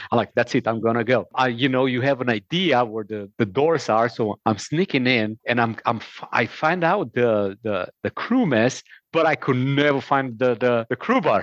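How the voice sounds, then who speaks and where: A man with a Romanian accent speaks at a medium pitch and a moderate pace, with ordinary pitch variation and a dry, close sound with no echo. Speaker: former cruise ship bartender. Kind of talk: casual chat.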